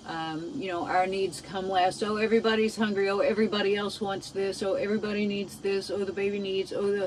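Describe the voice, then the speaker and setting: A woman's medium-pitched voice at a fairly quick pace, fairly even intonation, noticeable background noise. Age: 60s. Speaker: DIY vlogger. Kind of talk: casual vlog monologue. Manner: halting.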